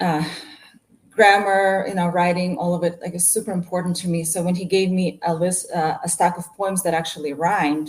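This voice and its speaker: In a Russian accent, a woman speaks at a moderate pace with a fairly low, somewhat breathy voice. Her intonation is monotone and flat. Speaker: martial arts instructor and business owner. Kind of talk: casual interview chat.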